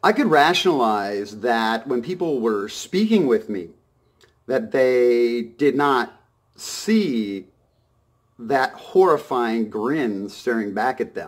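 A man speaks at a very slow pace. His intonation is lively. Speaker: vlogger. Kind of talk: casual vlog monologue. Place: home room. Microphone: phone near.

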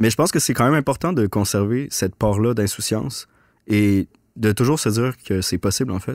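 A man speaks at a fairly quick pace in a medium pitch with ordinary pitch variation. The background is quiet, and the sound is dry with no echo. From Quebec City, Quebec; Quebec. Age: 30s. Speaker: documentary filmmaker; podcast guest. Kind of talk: casual interview. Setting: studio. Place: studio. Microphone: studio mic.

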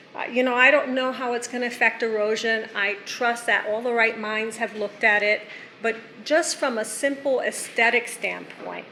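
Someone with a non-native accent talks with fairly even intonation amid noticeable background noise and audible room echo. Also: woman, fairly high pitch for a woman, moderate pace. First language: not English. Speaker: resident speaking at public comment. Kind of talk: public comment at town meeting. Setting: town council meeting.

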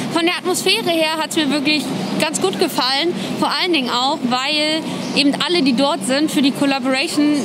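Over loud background noise, a woman speaks at a fairly quick pace. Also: ordinary pitch variation. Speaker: vlogger. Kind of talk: casual vlog chat. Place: street. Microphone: phone near.

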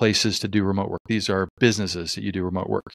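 The clip has a dry sound with no echo and a quiet background. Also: man. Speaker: podcast host. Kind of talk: casual podcast conversation. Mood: relaxed, upbeat. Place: home room. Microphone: studio mic.

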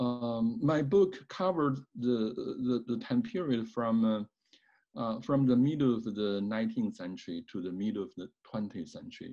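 A man's dark, mellow tone at a moderate pace against a quiet background. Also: medium pitch for a man. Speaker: professor of Chinese studies. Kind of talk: panel discussion. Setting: video call. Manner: halting. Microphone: webcam.

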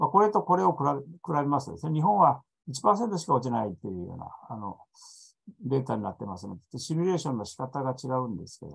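A somewhat breathy male voice at a very fast pace, with very wide pitch swings and big swings in loudness, over a quiet background. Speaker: EU expert panelist; panelist. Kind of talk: presentation. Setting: online video conference. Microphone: video call.

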